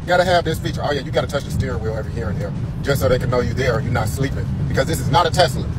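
A man talks at a very fast pace over loud background noise. The sound is dry, with no echo. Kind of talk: casual vlog chat. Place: car. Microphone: phone near.

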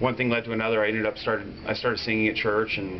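A man speaks with music playing in the background. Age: 30s. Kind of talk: interview answer. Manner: casual, conversational. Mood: warm, reflective. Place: home room.

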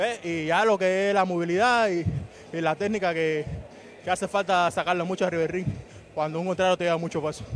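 A man with a Cuban accent speaks at a fairly quick pace in a high pitch, with fairly even intonation over light background noise. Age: 20s. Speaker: boxer. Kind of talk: post-fight interview. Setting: boxing gym arena. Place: stadium. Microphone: handheld.

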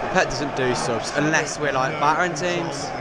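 A man is recorded dry, with no echo. Loud background noise is present. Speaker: football fan vlogger. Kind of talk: live match reaction commentary. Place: stadium. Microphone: phone near.

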